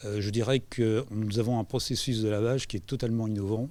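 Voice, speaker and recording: At a moderate pace, the speech carries a dark, mellow tone. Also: man. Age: 70s. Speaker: business owner. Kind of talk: interview. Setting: live event at a co-working space. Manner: halting.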